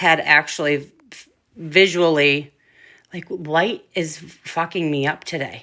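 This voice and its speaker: A loud woman with a bright, sharp tone on a very clean recording against a silent background. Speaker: paranormal investigator. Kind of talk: casual chat.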